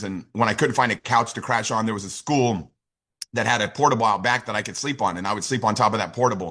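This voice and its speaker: Over a silent background in a very clean recording, a man talks at a very fast pace. His bright, sharp tone sits at a medium pitch with ordinary pitch variation. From United States. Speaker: network marketing leader. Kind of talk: motivational talk. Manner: animated.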